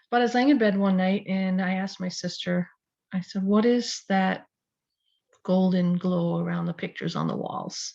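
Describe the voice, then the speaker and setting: Against a quiet background, a woman speaks at medium pitch in a somewhat breathy voice. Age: 60s. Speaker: spiritual teacher, video blogger. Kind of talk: casual personal storytelling to camera. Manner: hesitant, many fillers.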